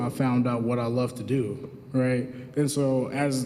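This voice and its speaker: A man of medium pitch speaks with an American accent amid noticeable background noise and audible room echo. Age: 20s. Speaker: community economic development manager. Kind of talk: graduation speech. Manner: casual, halting with fillers.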